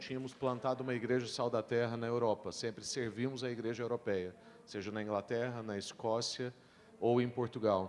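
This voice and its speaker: At a moderate pace, a man speaks at a medium pitch in a monotone, flat delivery. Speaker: pastor. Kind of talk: panel discussion.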